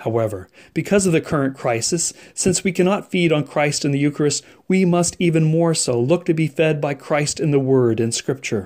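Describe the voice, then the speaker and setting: A man's normal speaking voice with an American accent, fairly high in pitch, at a moderate pace with ordinary pitch variation, on a very clean recording with a silent background. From French Canadian American family, US. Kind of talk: scripted spiritual reflection. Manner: formal.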